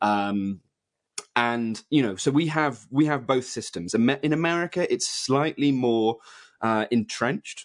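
A man with a British accent speaks at a medium pitch and a fairly slow pace. His loudness stays very even against a quiet background. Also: ordinary pitch variation. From UK. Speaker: journalist and author. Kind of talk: interview.

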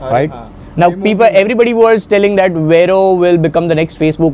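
Very fast speech from a man, ordinary pitch variation, noticeable background noise. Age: 30s. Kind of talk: one-on-one coaching conversation. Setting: in person meeting.

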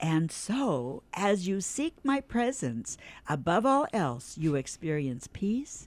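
At a very slow pace, a woman with a warm tone makes very wide pitch swings, recorded very cleanly against a silent background. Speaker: radio host. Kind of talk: radio show with devotional reading. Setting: studio. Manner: warm, friendly.

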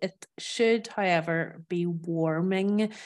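In a Northern Irish accent, a woman talks at medium pitch in a very clean recording with a silent background. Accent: Northern Irish, living in France. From Northern Ireland. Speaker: food expert guest. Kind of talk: casual interview chat.

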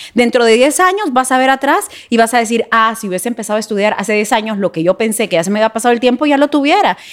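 A woman with a fairly high pitch rattles along at a very fast pace, her intonation lively and hardly any pauses breaking it up. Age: 40s. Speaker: TV news presenter. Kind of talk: personal testimony in casual interview.

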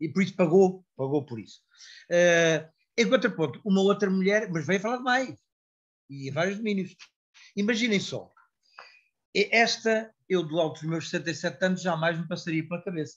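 The speaker keeps a moderate pace, leaving long, frequent pauses over a quiet background. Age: 60s. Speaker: retired civil servant, parent of member. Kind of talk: online meeting contribution. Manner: halting, repetitive.

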